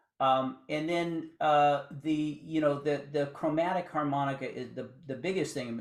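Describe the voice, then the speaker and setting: This man has an ordinary speaking voice, pitched fairly high. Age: 60s. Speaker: blues harmonica player. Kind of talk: interview.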